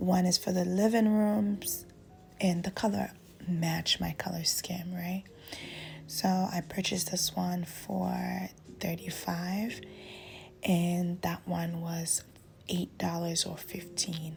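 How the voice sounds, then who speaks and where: Very slowly and with long, frequent pauses, a somewhat breathy woman speaks in a monotone, flat intonation at a fairly low pitch. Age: 20s. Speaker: lifestyle vlogger. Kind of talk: voiceover narration. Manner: casual.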